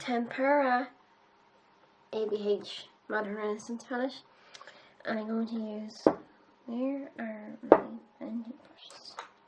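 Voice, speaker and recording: A woman speaks in a fairly high voice with flat, monotone intonation and big swings in loudness. Her pace is fairly slow, with long, frequent pauses, over noticeable background noise. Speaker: beauty youtuber. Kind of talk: makeup tutorial. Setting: home, filming in pyjamas. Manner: casual, chatty.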